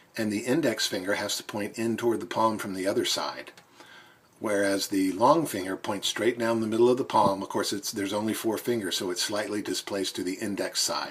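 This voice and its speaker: A man at a fairly low pitch and fairly quick pace amid noticeable background noise. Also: ordinary pitch variation. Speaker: plastic surgeon presenting art analysis. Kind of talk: narrated slideshow explainer. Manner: fast; casual with fillers and self-corrections.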